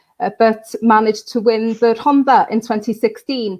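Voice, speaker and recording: The woman's voice is fairly high, and she talks at a moderate pace. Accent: North Welsh. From Wales, Anglesey. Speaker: political candidate and local councillor. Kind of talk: online campaign launch interview. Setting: online live video stream.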